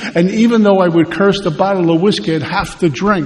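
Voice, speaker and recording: Speaking with a New York accent, a man talks at a high pitch and a fairly quick pace. Noticeable background noise runs underneath. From Brooklyn, New York. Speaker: AA speaker. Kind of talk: testimony.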